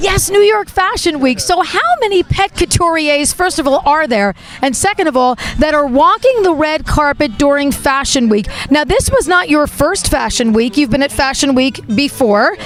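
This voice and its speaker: A woman's high voice at a moderate pace, very wide pitch swings, very even loudness, and noticeable background noise. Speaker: pet lifestyle show host. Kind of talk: interview questions on camera. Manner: enthusiastic.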